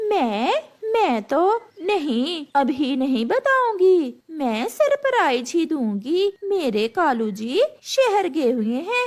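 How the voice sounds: A woman performs a cartoonish character voice at an extremely high pitch. She goes very slowly, with very wide pitch swings.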